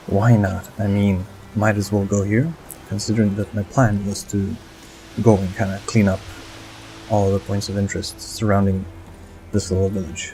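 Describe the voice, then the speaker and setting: With music in the background, a man speaks in a fairly low, flat monotone at a moderate pace, leaving long, frequent pauses. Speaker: gaming commentator. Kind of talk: let's play commentary. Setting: home recording. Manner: soft-spoken, sometimes whispered.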